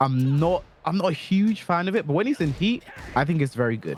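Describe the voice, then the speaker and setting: Music plays in the background as the speaker goes at a fairly quick pace with very wide pitch swings. The sound is dry and close with no echo. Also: man. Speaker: fighting game coach. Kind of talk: tutorial. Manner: fast.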